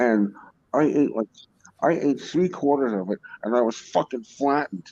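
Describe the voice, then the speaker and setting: At a moderate pace, a voice with a dark, mellow tone and lively intonation comes through in a dry, close sound with no echo. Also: man, medium pitch for a man. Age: 60s. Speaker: podcast guest. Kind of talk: casual chat. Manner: halting, many fillers.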